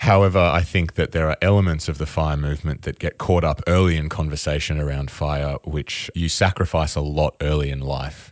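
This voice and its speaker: Over noticeable background noise, a man with a very deep, low pitch talks at a fairly quick pace with fairly even intonation and hardly any pauses, the sound dry and close with no echo. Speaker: podcast co-host. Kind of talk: casual chat.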